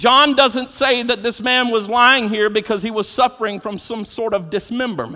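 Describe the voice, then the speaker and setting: An animated man speaks at an extremely high pitch with a bright, sharp tone and ordinary pitch variation. His voice is raised and projected, with hardly any pauses. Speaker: pastor. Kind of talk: sermon. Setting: church. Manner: animated, exhortative; repeats words when starting sentences.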